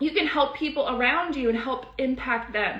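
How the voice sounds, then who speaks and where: Animated in tone, a woman speaks at a high pitch with ordinary pitch variation. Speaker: credit repair educator. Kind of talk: live stream teaching and sales pitch. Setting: live stream. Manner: fast.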